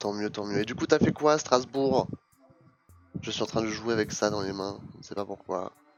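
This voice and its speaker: Music plays in the background as a man speaks at a moderate pace. His fairly low voice has ordinary pitch variation. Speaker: streamer. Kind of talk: casual chat. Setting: live stream.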